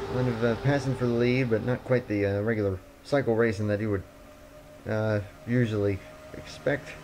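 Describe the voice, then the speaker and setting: Noticeable background noise sits behind a man with a medium pitch. He keeps fairly even intonation and leaves long, frequent pauses. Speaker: sim racing commentator. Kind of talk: casual live-stream race commentary.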